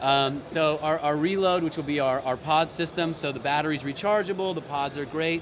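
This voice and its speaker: A man with an American accent talks at a fairly quick pace with hardly any pauses, a fairly high pitch and fairly even intonation. Noticeable background noise sits behind him. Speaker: company CEO. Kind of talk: interview. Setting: trade expo stand. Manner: halting, many fillers.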